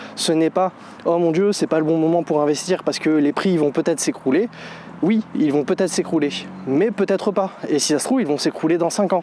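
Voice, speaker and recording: The talking moves fairly quickly. Behind it sits noticeable background noise. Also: man, high pitch for a man, ordinary pitch variation. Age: 30s. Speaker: real estate investor vlogger. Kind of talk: casual vlog monologue. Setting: outdoors.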